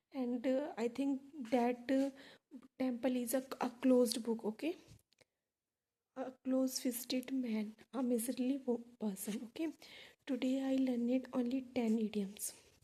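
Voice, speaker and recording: A woman speaks in an Indian accent with a high pitch and a dark, mellow tone. Her intonation is monotone and flat, her pace fairly slow, with long, frequent pauses. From India, Delhi. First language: Hindi. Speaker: English learner vlogger. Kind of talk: casual vlog, reading vocabulary list. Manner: halting, many fillers.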